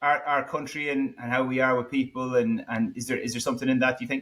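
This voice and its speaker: A man in an Irish accent, fairly quick in pace, with lively intonation. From Ireland. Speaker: podcast host. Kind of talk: interview.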